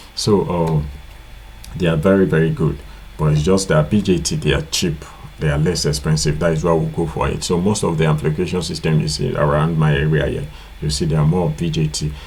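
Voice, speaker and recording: Music plays behind a man speaking at a fairly quick pace, with audible room echo. His pitch is very deep and low, and his intonation fairly even. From Nigeria. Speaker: electronics repair tutor. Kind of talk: tutorial. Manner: casual, repetitive with filler.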